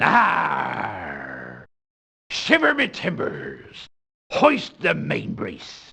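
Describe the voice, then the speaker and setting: A man speaks in a put-on character voice. It is raspy and very slow. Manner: exaggerated, fake-sounding.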